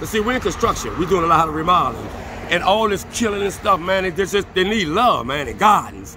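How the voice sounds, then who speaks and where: High-pitched man in a raised, projected voice, fairly quick and with ordinary pitch variation, dry sound with no echo, noticeable background noise. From New Orleans. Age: 50s. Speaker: local resident, construction worker. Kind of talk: street interview. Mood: earnest, passionate. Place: street. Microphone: phone near.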